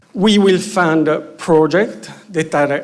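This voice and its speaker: A high-pitched man with a Romanian accent speaks with ordinary pitch variation amid audible room echo. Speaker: EU research program official. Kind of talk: conference presentation. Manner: halting, many fillers.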